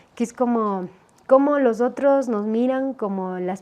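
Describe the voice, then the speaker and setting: This is a woman with a fairly high pitch. Her tone is dark and mellow. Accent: Ecuadorian. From Ecuador, Otavalo Kichwa community. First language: Kichwa (speaking Spanish). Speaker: poet and writer. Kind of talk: interview conversation. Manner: halting, many fillers and repetitions.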